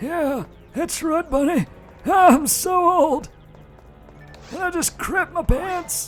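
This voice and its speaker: Faint music plays behind a put-on character voice that moves at a very slow pace. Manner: comedic, gravelly.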